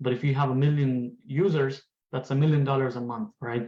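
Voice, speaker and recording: The man has a medium-pitched voice with a dark, mellow tone. He speaks at a moderate pace, his pitch shifting in an ordinary way. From Afghanistan. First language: Pashto and Farsi. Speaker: tech entrepreneur. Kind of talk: lecture.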